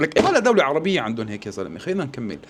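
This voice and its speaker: A man is speaking. His tone is animated. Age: 40s. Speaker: political commentator. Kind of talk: video commentary.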